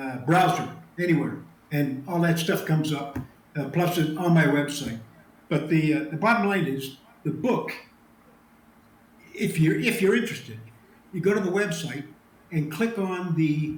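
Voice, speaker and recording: Speaking with an American accent at a moderate pace, a man with fairly high pitch and ordinary pitch variation leaves long, frequent pauses, with audible room echo and noticeable background noise. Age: 70s. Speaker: retired special forces officer and author. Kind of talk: interview. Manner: hesitant, many fillers.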